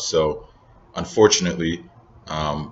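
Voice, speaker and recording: A man speaks with an American accent. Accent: American-sounding. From Northern Nigeria. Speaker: vlogger and entrepreneur. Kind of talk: casual vlog monologue. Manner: hesitant, many fillers.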